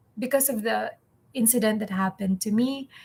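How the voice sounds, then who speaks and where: A somewhat breathy woman is heard in a very clean recording with a silent background. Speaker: English teacher and vlogger. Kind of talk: personal vlog. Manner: halting.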